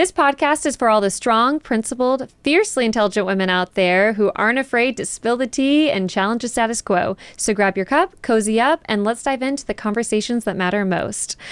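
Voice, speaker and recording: In a plain, everyday voice, a woman with an American accent speaks at a fairly quick pace. Her pitch is fairly high and her intonation lively. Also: dry, close sound with no echo. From Texas, South Dallas. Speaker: podcast host. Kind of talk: scripted intro; casual interview.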